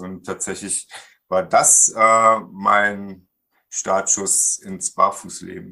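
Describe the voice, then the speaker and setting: A man with a fairly low pitch speaks in a bright, sharp tone. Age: 40s. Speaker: IT consultant and barefoot coach. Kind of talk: interview.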